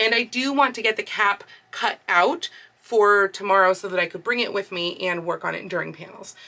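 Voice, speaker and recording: Moderate pace from a woman. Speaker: sewing vlogger. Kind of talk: casual vlog chat. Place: home room. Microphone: phone near.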